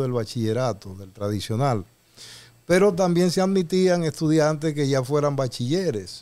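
A man's dark, mellow tone comes through a very clean recording with a silent background. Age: 60s. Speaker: radio show host. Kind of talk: radio talk show discussion. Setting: radio studio.

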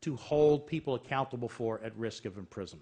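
Talking at a fairly quick pace, a man has a medium pitch with ordinary pitch variation. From New York. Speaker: panel moderator, legal scholar. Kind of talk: panel moderation. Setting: stage with audience.

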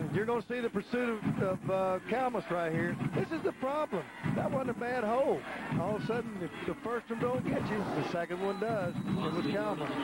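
Over noticeable background noise, a man with a Southern US accent speaks at a high pitch and a fairly quick pace, his loudness very even. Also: ordinary pitch variation. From Texas. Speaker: football color analyst, former coach. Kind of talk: live commentary. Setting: stadium broadcast booth. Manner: folksy.

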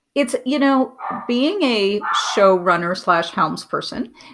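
Over noticeable background noise, a woman with a high voice and an American accent speaks at a very slow pace. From New York City, Manhattan; New York City. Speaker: TV and film writer-producer; guest. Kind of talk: casual interview chat.

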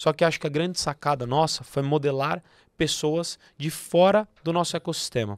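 A man with a normal speaking voice talks at a moderate pace and a fairly high pitch, with ordinary pitch variation. The background is quiet and the sound is dry with no echo. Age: 30s. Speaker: accounting firm partner and entrepreneur; podcast guest. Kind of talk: podcast interview. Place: studio. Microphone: studio mic.

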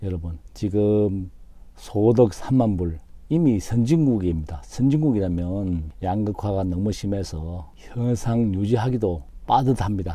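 A man's voice has a dark, mellow tone and a fairly low pitch. He talks at a very slow pace with lively intonation. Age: 50s. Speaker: YouTuber. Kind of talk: vlog monologue. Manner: formal.

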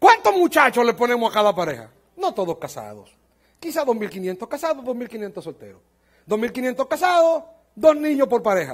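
A man's extremely high-pitched voice at a moderate pace, with very wide pitch swings and a quiet background. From Dominican Republic. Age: 50s. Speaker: pastor. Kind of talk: sermon. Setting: church conference with audience. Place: church. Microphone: headset.

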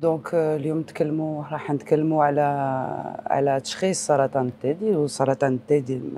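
A woman's very deep, low voice with a dark, mellow tone and an Algerian accent, at a moderate pace with fairly even intonation, dry with no echo, over light background noise. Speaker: breast surgeon; guest. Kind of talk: TV health interview. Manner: code-switching Arabic and French, halting. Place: studio. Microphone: lapel.

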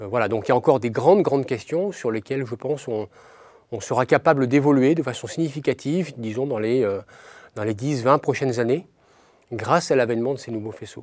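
Against a quiet background with a dry sound and no echo, a man speaks at medium pitch with ordinary pitch variation. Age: 40s. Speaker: nuclear physicist. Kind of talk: interview. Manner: halting. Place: studio.

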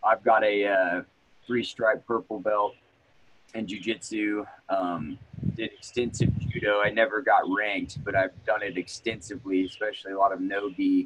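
A man speaks at a moderate pace in a plain, everyday voice. His pitch sits fairly low, with fairly even intonation. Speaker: martial arts instructor. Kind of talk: casual interview. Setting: in person, same room.

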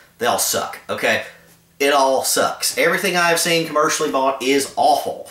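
His pace is moderate as a man speaks. The room echo is audible. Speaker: outdoor gear reviewer. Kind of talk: casual vlog rant. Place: home room. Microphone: camera far.

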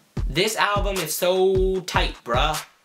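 Clear music fills the background. Over it, a man talks very slowly. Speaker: music reviewer vlogger. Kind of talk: casual vlog chat. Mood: playful, mock disgust. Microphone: camera far.

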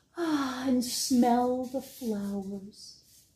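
In audible room echo, a woman with a high pitch speaks at a very slow pace in a gentle, warm tone. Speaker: library storytime reader. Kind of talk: bedtime story reading, picture-book read-aloud to children. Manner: gentle, warm and animated, with playful sound effects; slow, clear, child-friendly pacing. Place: home room. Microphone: phone near.

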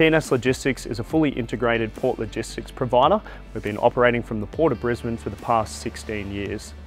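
A man talks at a very fast pace. The sound is dry with no echo, and faint music plays in the background. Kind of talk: interview answer. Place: factory. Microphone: lapel.

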